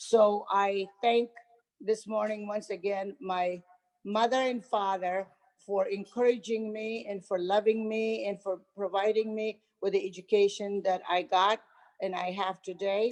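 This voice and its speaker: A woman's medium-pitched voice, flat and monotone, at a fairly slow pace. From Afghanistan, Kandahar. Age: 60s. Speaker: author and retired teacher. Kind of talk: casual talk on a video gathering.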